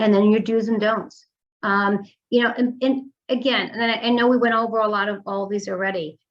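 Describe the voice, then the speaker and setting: A fairly high-pitched woman's voice with a New York accent and fairly even intonation. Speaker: mortgage lender. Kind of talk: presentation. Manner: fast.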